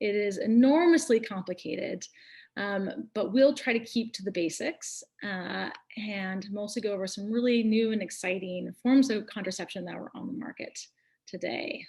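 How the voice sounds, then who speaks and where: At a moderate pace, a woman's fairly high, somewhat breathy voice moves with lively intonation and big swings in loudness. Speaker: nurse practitioner. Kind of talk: educational webinar talk.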